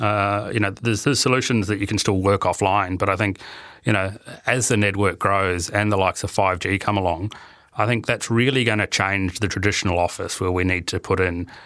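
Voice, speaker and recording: A man with a New Zealand accent, a fairly low pitch and a bright, sharp tone, at a fairly quick pace with ordinary pitch variation and very even loudness, in a very clean recording with a silent background. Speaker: IT infrastructure and innovation manager. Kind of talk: interview. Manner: hesitant, many fillers and repetitions.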